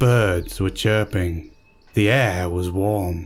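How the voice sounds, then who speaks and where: Over music in the background, a man speaks at a very slow pace in a fairly low pitch with fairly even intonation. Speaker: narrator. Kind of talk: horror story narration.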